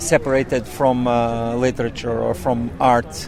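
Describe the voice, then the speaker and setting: A man at a fairly slow pace with a Portuguese accent, plus noticeable background noise. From southern Portugal, rural. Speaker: author and poet. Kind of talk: interview. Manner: halting, many fillers.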